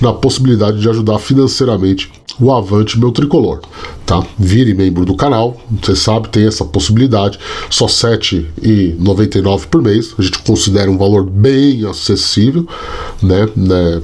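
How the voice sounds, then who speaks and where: A man speaks at a moderate pace with a fairly low pitch and ordinary pitch variation. His loudness stays very even despite noticeable background noise. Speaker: sports journalist and youtuber. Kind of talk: casual vlog commentary. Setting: home at night. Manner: soft-spoken, talking quietly.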